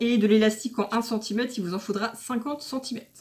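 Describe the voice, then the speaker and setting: A woman's fairly high voice at a moderate pace. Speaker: sewing vlogger. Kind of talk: tutorial. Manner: hesitant with fillers.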